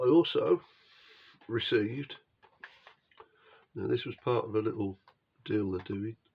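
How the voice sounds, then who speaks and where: A man speaks at a fairly slow pace, with long, frequent pauses. His tone is relaxed and somewhat breathy. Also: medium pitch for a man, ordinary pitch variation. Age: 60s. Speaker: model-kit hobbyist video host. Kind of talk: casual chat to camera. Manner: relaxed, hesitant with fillers.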